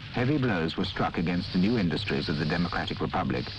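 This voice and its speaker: Very deep, low-pitched man's voice at a very fast pace, solemn in tone yet with lively intonation, dry with no echo, music in the background. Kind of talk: 1960s documentary film narration. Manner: formal, measured, steady newsreel-style delivery; grave and solemn. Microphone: old recording.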